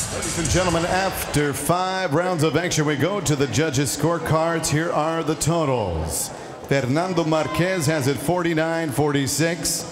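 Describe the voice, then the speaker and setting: Clear music plays in the background as the voice moves at a fairly slow pace with fairly even intonation and very even loudness. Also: man. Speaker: ring announcer. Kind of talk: formal fight announcing; ring announcement. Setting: arena with audience. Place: hall. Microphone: handheld.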